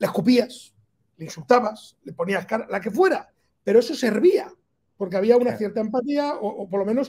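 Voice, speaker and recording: A man talks at a fairly quick pace in a high pitch with ordinary pitch variation, over a quiet background. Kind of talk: interview answer. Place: office. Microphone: video call.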